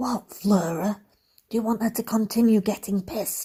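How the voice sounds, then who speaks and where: A raspy, fairly high put-on character voice moves along at a moderate pace. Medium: read story. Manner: low, urgent.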